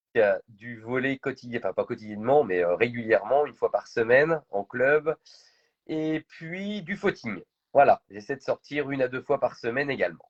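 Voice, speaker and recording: Against a quiet background, the speaker talks at a moderate pace with lively intonation in a dry, close sound with no echo. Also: man, fairly high pitch for a man. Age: 40s. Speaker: entrepreneur. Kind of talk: interview. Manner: hesitant, many fillers.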